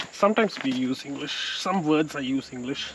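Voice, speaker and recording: A man with a Tamil accent talks at a moderate pace with a fairly high pitch. Noticeable background noise is present. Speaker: motorcycle vlogger. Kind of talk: casual vlog narration mixing Tamil and English. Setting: outdoors on a forest trail.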